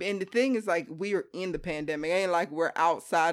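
Very fast speech from a woman with a fairly low pitch and an American accent, on a very clean recording with a silent background. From US East Coast, Hampton, Virginia. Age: 30s. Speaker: podcast co-host, engineer. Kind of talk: casual chat. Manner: animated.

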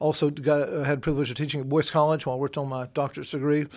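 In a Southern US accent, a man talks with a fairly high pitch. The recording is very clean, with a silent background. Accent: Southern US (Georgia). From Georgia, US South. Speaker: pastor and newspaper editor. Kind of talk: interview. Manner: halting, many fillers.

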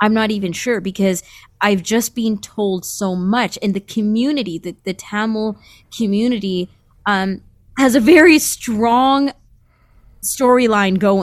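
Over a silent background in a very clean recording, a woman with a Canadian accent speaks at a fairly slow pace, her pitch fairly high with ordinary pitch variation. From Toronto, Canada (born Sri Lanka). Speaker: media professional. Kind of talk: panel discussion. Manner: halting.

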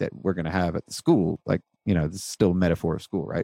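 A man's very deep, low voice with a dark, mellow tone, in dry, close sound with no echo. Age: 30s. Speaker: accounting firm owner and podcaster. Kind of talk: casual interview conversation.

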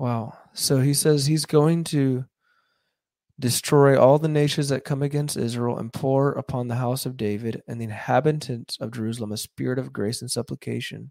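With a dark, mellow tone, a man speaks at medium pitch using fairly even intonation. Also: very clean recording, silent background. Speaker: YouTube podcast host reading aloud. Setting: live stream with viewers commenting. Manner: measured, earnest, reverent reading; unhurried, slightly conversational.

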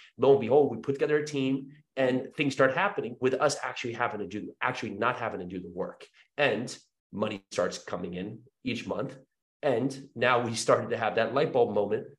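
With an American accent, a man speaks in an ordinary speaking voice at a fairly quick pace, his medium pitch showing ordinary variation. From New Jersey. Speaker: real estate investor. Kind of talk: interview.

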